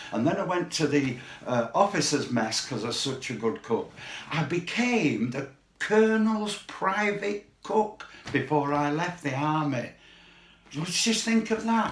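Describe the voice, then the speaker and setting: Over noticeable background noise, a man with a Mancunian accent speaks fairly slowly at a fairly high pitch, his pitch swinging very widely. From Manchester, northern England. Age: 80s+. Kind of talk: testimony.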